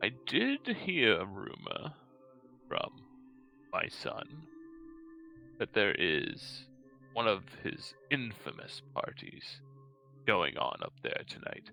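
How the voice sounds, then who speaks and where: A man uses a put-on character voice at a very slow pace, with long, frequent pauses. Clear music plays in the background. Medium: actual play. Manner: halting, stammering, pauses for breath.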